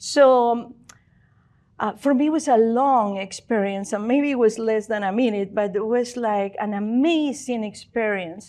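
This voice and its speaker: The voice has a dark, mellow tone and moves at a fairly slow pace. The background is quiet. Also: woman, fairly high pitch for a woman, ordinary pitch variation. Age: 60s. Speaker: spiritual speaker. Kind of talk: talk to audience. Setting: stage with audience. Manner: halting.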